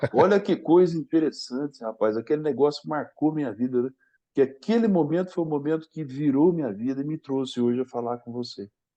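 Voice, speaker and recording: A plain, everyday voice from a man, fairly high in pitch, at a fairly quick pace. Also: lively intonation. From Brazil, Paraná (Londrina). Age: 60s. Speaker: sports training professor. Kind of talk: podcast interview storytelling.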